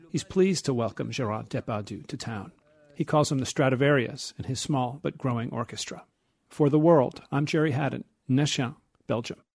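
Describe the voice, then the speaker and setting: Vocal fry marks this man's medium-pitched voice, which moves at a moderate pace with ordinary pitch variation in a very clean recording with a silent background. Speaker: radio reporter. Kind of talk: scripted news report.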